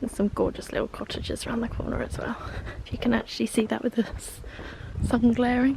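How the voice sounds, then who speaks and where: Against noticeable background noise, a woman speaks at a very fast pace. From south-east England, East Sussex. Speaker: lifestyle vlogger. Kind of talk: casual vlog. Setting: outdoors. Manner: soft-spoken.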